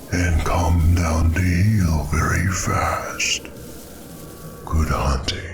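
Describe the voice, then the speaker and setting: A man puts on a character voice, pitched very deep and low, and speaks at a very slow pace. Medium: read story.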